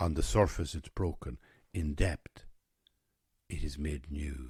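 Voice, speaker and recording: A man talks at a fairly slow pace with a very deep, low pitch and vocal fry. The recording is very clean, with a silent background. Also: ordinary pitch variation. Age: 60s. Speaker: podcaster. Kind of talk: reflective monologue.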